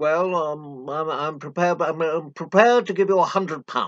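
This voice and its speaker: A man puts on a character voice with a fairly high pitch and ordinary pitch variation. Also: moderate pace. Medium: read story. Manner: blustering.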